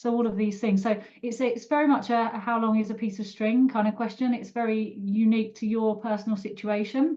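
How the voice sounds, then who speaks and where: With a British accent, a woman pitched fairly high speaks in a monotone, flat intonation at a fairly quick pace, with hardly any pauses. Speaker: personal finance expert. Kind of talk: online webinar panel. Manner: hesitant, many fillers.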